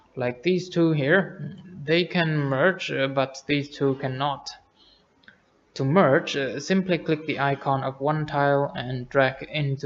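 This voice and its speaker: This man speaks at a very slow pace in a fairly high pitch. His intonation stays fairly even. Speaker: software tutorial creator. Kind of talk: tutorial. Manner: halting, many fillers and repeats.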